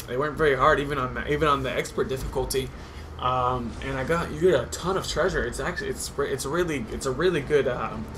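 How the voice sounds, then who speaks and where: A man at a very fast pace, with noticeable background noise and audible room echo. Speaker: gaming commentator. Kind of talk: gameplay commentary. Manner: naturally fast.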